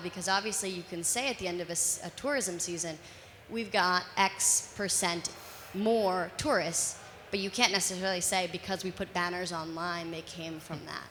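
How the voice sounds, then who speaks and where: With an American accent, a woman talks in a plain, everyday voice at a medium pitch and with fairly even intonation. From United States. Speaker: marketing agency worker, audience member. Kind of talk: audience question.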